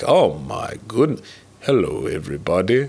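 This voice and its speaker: A resonant, put-on character voice at a moderate pace. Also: man. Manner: jokingly exaggerated.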